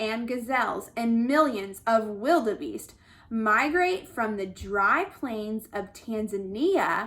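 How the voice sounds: What you hear is a natural reading voice. The clip carries it from start to finish.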